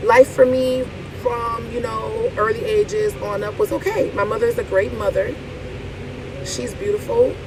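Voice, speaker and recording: Female speech at a moderate pace, noticeable background noise behind it. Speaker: vlogger. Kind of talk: casual monologue vlog.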